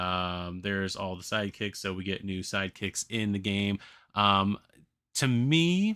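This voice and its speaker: A man talks at a fairly slow pace with a fairly low pitch and a bright, sharp tone. The sound is dry and close with no echo, on a very clean recording with a silent background. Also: ordinary pitch variation. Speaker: gaming streamer. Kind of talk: live stream commentary. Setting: live stream. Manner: slurring, halting; rambling with fillers.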